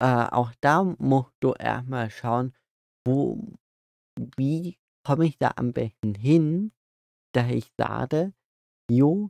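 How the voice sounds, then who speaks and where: Lively intonation carries a very slow delivery full of long, frequent pauses against a quiet background. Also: man, dry sound with no echo. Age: 20s. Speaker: podcast co-host. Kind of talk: casual chat. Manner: halting. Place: open country. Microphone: phone near.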